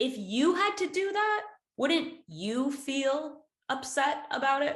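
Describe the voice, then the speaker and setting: Delivered at a very slow pace in an American accent, the speech has lively intonation and very even loudness. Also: woman, high pitch for a woman. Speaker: English teacher. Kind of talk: English lesson explaining a poem. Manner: casual, friendly.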